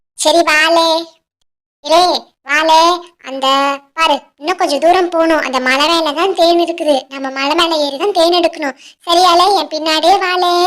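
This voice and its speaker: A cartoonish character voice at an extremely high pitch, speaking at a fairly slow pace. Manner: rustic, uses "le" address often.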